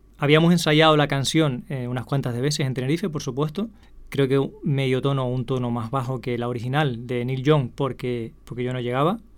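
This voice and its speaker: A man talks at a fairly quick pace at medium pitch with ordinary pitch variation. It is an unremarkable speaking voice. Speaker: podcast host. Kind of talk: casual storytelling monologue.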